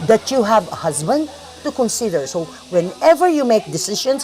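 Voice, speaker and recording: Noticeable background noise sits behind a woman speaking at a moderate pace in a fairly high voice with very wide pitch swings. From Philippines. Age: 60s. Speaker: interviewee, retired teacher. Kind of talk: interview.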